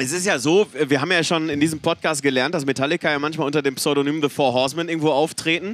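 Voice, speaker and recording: With music in the background, a man at a fairly high pitch speaks at a very fast pace with fairly even intonation. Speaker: podcast co-host. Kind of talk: casual chat. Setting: back room of a rock club before a concert.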